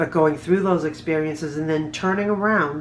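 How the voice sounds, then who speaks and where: Fairly quick, fairly even speech in a Massachusetts accent, with audible room echo. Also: woman. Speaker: trauma survivor and PTSD advocate. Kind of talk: personal testimony monologue. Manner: halting, repeats words.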